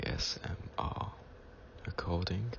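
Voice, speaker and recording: Soft-spoken and calm in tone, a man with a very deep, low pitch talks at a very slow pace with ordinary pitch variation over noticeable background noise. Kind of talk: ASMR history talk. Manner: calm, relaxing.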